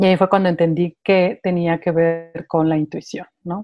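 The tone of this woman's voice is dark and mellow. Behind her, the background stays quiet. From Mexico City. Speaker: meditation mentor and channeler. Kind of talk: interview.

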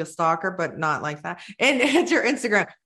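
A woman in an American accent, with very wide pitch swings. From Maryland (Baltimore). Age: 40s. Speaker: podcast host. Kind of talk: casual interview. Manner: chatty, rambling.

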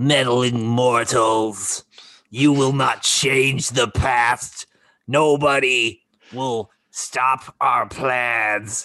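A man puts on a raspy character voice at a medium pitch, speaking at a very slow pace. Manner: menacing, ominous.

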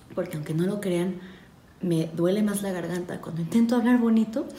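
Soft-spoken, a woman talks at a fairly slow pace amid noticeable background noise and audible room echo. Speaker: podcast host. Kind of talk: ASMR-style philosophy reading. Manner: soft, calm and slow; hesitant, many fillers.

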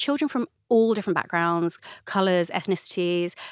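In a London accent, a woman speaks at a moderate pace and medium pitch, the sound dry and close with no echo. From North London, England. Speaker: novelist. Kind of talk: casual interview chat.

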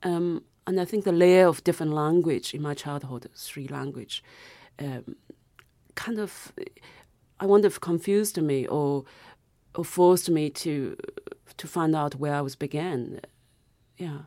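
On a very clean recording with a silent background, a woman with a Chinese accent speaks fairly slowly at a very deep, low pitch in a dark, mellow tone, with ordinary pitch variation, big swings in loudness, and long, frequent pauses. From South China. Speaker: novelist. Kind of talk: interview.

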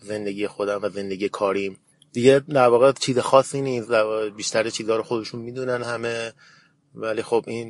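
This man's fairly quick delivery keeps a fairly even intonation, and the background is quiet. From Iran, Tehran. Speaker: barista champion. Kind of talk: interview.

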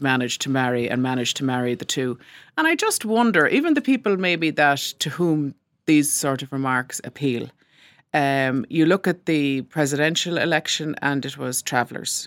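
In an Irish accent, a woman with a very deep, low pitch talks at a moderate pace, the sound dry and close with no echo. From rural Ireland. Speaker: newspaper columnist and broadcaster. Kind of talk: casual interview discussion.

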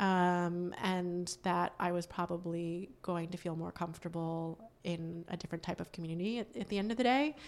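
Recorded very cleanly against a silent background, a woman with an American accent and an unremarkable speaking voice talks at a moderate pace, fairly low in pitch, with ordinary pitch variation and hardly any pauses. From Western Massachusetts, US. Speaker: company founder and CEO. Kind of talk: interview.

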